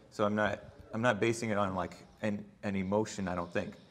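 A man speaks at a moderate pace with a normal speaking voice and fairly even intonation. Light background noise is present. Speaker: debate panelist; panelist. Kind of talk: panel debate. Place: hall. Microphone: camera far.

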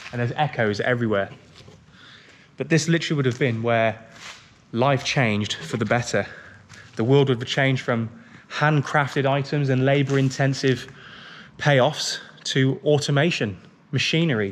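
Talking at a moderate pace with ordinary pitch variation, a man leaves long, frequent pauses over light background noise. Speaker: vlogger. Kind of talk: casual vlog chat. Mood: curious, slightly awed. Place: factory. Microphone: phone near.

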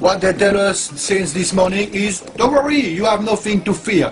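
A man's high-pitched voice with ordinary pitch variation over light background noise. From France. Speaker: resident making an online appeal. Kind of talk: impassioned video appeal. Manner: halting, repetitive. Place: home room. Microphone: webcam.

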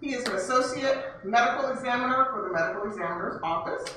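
At a fairly quick pace, a woman speaks in a high voice, with strong room echo and light background noise in the recording. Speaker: library event host. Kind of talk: event welcome and introductions. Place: hall.

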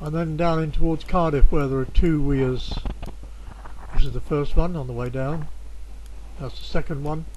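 Loudness swings widely as a man speaks at a moderate pace with long, frequent pauses over noticeable background noise. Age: 60s. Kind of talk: casual video narration of a bike ride.

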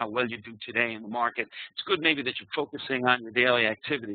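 With a New York accent, a man speaks at a fairly quick pace and a medium pitch. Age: 60s. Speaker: trading psychology speaker. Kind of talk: presentation. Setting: online live webinar.

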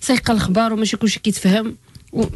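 Noticeable noise sits in the background. Over it, a woman speaks. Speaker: life coach. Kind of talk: radio advice show.

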